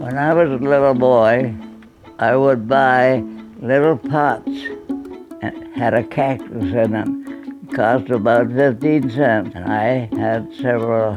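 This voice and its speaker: Very slow speech with music in the background. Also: man. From Canada (Manitoba). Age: 80s+. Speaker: retired engineer, war veteran. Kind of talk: interview answer.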